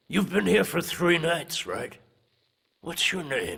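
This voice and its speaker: A man does a cartoonish character voice, high in pitch and raspy. He speaks at a fairly slow pace. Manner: gruff, dry.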